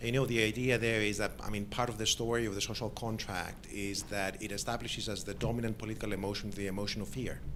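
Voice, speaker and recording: Amid audible room echo, a man with fairly low pitch speaks very fast and with fairly even intonation, hardly pausing. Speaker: academic commentator. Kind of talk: academic Q&A discussion. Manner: loud; halting.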